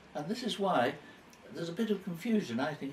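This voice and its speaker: Against noticeable background noise, a man speaks in a high pitch with very wide pitch swings. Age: 90s. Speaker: elderly man interviewed by his carer. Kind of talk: casual interview chat. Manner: halting.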